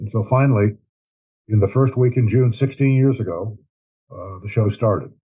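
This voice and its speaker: A man talks at a moderate pace in a dark, mellow, somewhat breathy tone. His intonation is fairly even, and the background is quiet. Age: 80s+. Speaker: war veteran. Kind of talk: interview. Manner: frequent filler words and hesitations.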